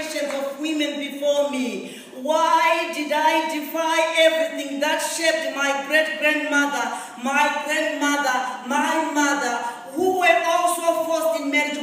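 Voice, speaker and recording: A woman with a high pitch talks at a very slow pace in a monotone, flat intonation, with noticeable background noise behind her. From Africa. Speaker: motivational speaker. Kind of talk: charity gala speech. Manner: inspiring.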